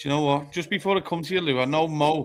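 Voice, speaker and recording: Fairly quick speech in a Liverpool accent. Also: man. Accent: Scouse. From Liverpool, England (born in Zimbabwe). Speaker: football podcast host. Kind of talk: live football podcast discussion. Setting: live stream.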